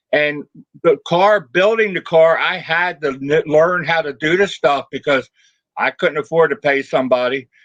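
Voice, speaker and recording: Heard in a dry, close sound with no echo, a man with an ordinary speaking voice talks at a fairly high pitch with ordinary pitch variation. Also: moderate pace. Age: 60s. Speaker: car hobbyist, retired mechanic. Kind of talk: casual chat.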